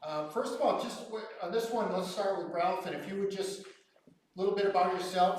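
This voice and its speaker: Fairly quick speech from a man amid noticeable background noise. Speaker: moderator. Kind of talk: public forum moderation. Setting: church hall with audience, no mics. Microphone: no microphone, projecting.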